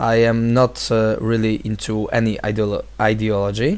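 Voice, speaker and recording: A man with a Polish accent speaks at a moderate pace. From Poland. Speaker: vlogger, vocal trainer and life coach. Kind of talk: video response monologue. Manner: halting, many fillers.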